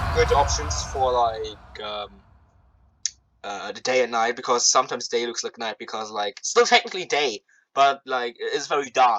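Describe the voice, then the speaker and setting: Speaking at a moderate pace with a non-native accent, a man's voice shows big swings in loudness. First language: not English. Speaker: gaming YouTuber. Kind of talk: gameplay commentary. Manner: halting, many fillers and repetitions; casual.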